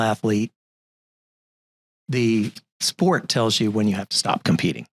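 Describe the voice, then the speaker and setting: The man's medium-pitched voice comes across dry and close, with no echo. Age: 60s. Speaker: entrepreneur and investment manager. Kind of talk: interview. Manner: halting.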